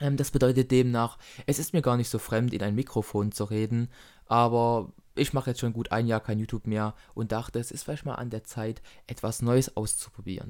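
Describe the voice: Talking at a fairly quick pace, a man of medium pitch has a slightly mellow tone and fairly even intonation.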